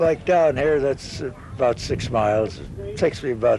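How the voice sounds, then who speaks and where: A man talks with normal rises and falls in pitch while noticeable background noise runs underneath. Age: 70s. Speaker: marathon runner. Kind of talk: interview. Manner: halting.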